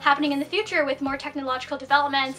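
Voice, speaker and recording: Over music in the background, a woman speaks in a raised, projected voice with a high pitch. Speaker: anime vlogger. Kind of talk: casual vlog review. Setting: small room at relative's home. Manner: fast.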